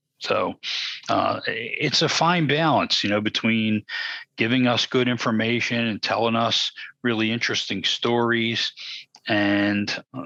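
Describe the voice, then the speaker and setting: A man speaks at a medium pitch and a fairly slow pace, his fairly even intonation carried by a bright, sharp tone in a dry, close sound with no echo. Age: 60s. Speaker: podcast co-host. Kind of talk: casual chat.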